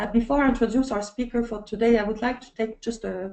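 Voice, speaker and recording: Speaking at a fairly quick pace, a woman has a French accent and a dark, mellow tone. Her intonation is fairly even. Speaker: webinar moderator. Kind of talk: casual pre-show chat; webinar introduction. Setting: online webinar. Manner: halting.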